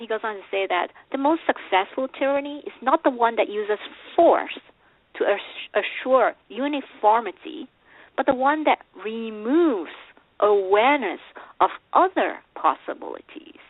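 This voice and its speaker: A woman's high voice with lively intonation, a moderate pace and long, frequent pauses. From Malaysia. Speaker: life coach. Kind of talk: interview. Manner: hesitant fillers.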